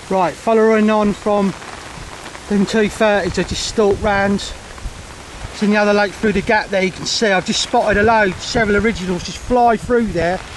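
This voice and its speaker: A man shouting, loud and high-pitched, over noticeable background noise. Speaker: carp angler vlogger. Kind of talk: casual vlog. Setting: outdoors by a lake. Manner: loud, shouting over storm; excited, rapid.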